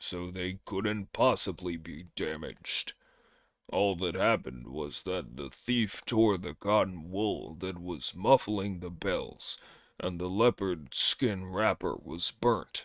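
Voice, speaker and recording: Putting on a character voice, a man speaks very deep and low at a fairly slow pace in a very clean recording with a silent background. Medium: read story.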